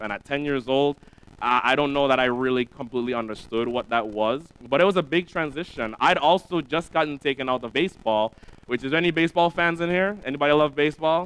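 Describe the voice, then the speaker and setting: Delivered at a fairly quick pace with a Caribbean accent, the speech has ordinary pitch variation. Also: man. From US Virgin Islands (Saint Croix). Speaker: preacher, ministry staff. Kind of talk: sermon. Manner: casual, conversational.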